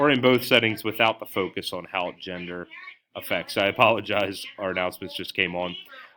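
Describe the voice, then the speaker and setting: The speaker talks at a fairly quick pace with ordinary pitch variation and big swings in loudness. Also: man, fairly low pitch for a man. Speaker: teacher presenting coursework. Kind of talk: recorded class presentation. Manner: hesitant, many filler words.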